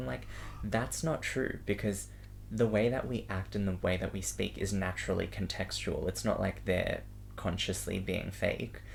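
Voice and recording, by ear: A man with a low pitch and vocal fry talks at a moderate pace.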